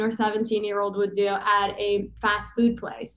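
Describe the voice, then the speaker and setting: A woman talks with a Persian accent. Her pace is moderate. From Iran. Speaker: chiropractor and business consultant. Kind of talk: podcast interview, personal story.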